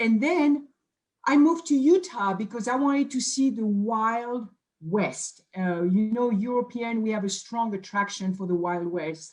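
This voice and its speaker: A woman with a French accent speaks at a fairly slow pace in a somewhat breathy, fairly high voice with lively intonation. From France, Bordeaux. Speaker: nutrition scientist. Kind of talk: self-introduction on a company video.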